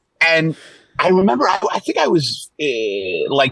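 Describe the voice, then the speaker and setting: Recorded with a dry, close sound and no echo, a man speaks with a New York accent. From Brooklyn, New York. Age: 60s. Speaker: stand-up comedian. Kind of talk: casual chat. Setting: in a car.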